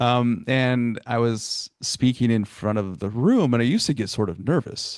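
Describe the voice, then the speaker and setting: With hardly any pauses, a man talks at a medium pitch with ordinary pitch variation, his dry, close sound carrying no echo over a quiet background. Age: 40s. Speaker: podcast host and college staff. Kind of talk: casual interview chat. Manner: fast.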